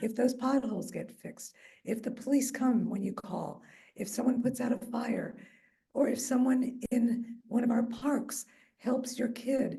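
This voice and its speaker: Amid audible room echo, a woman with a fairly high pitch and a dark, mellow tone speaks at a moderate pace with fairly even intonation. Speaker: mayor and neighborhood association vice president. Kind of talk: public speech at community meeting. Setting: meeting hall with audience and microphone, also on Zoom.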